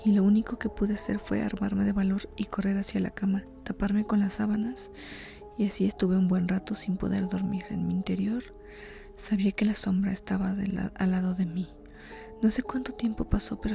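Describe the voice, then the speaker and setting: Soft-spoken and whispering, a woman talks at a fairly quick pace with music in the background. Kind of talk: horror story reading, ASMR. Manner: soft-spoken, whispered.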